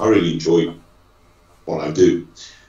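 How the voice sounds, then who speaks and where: A man at a fairly slow pace, with audible room echo over a quiet background. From Manchester, UK. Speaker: law firm managing partner. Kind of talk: interview conversation. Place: office. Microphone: video call.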